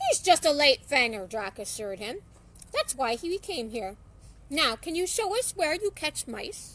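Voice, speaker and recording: A woman's high, put-on character voice with very wide pitch swings. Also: moderate pace. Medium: read story.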